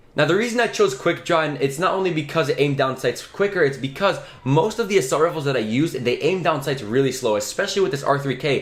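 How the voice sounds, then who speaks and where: Over noticeable background noise, a man in an animated tone with fairly high pitch, a very fast pace and hardly any pauses. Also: lively intonation. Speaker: gaming youtuber. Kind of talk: gameplay tutorial.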